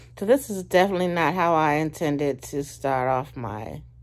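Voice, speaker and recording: Against a quiet background, a woman talks at a fairly slow pace with very wide pitch swings. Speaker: vlogger. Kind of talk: casual vlog chat. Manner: drowsy, low voice from bed. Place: home room. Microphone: phone near.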